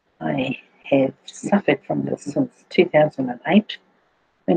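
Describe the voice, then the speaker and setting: A woman's dark, mellow tone carries vocal fry and a New Zealand accent. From New Zealand, Auckland. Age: 60s. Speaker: cancer patient sharing health testimony. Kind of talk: personal testimony. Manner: halting, with fillers.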